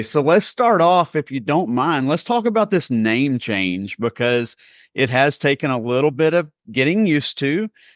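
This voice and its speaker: With a normal speaking voice, a man talks at a moderate pace in a fairly high pitch with lively intonation, the sound dry and close with no echo over a quiet background. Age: 40s. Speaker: nonprofit account manager. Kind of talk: podcast interview.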